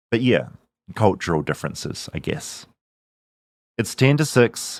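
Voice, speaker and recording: A man with a New Zealand accent at a moderate pace, with lively intonation, in a very clean recording against a silent background. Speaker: podcast host, journalist. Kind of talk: narrated documentary.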